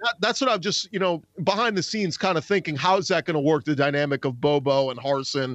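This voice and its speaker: Animated and lively in intonation, a man with a fairly high voice talks at a very fast pace with hardly any pauses, in a dry, close sound with no echo. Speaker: college sports podcaster. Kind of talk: casual chat. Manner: animated, excitable.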